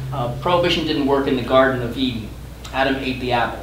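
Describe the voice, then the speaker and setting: Over noticeable background noise and audible room echo, a man speaks at a very fast pace. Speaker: harm reduction policy director. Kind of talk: testimony. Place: meeting room.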